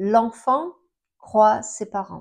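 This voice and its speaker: The speech comes at a very slow pace against a quiet background. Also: woman. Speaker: astrologer. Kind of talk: astrology talk to camera. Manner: halting, many fillers.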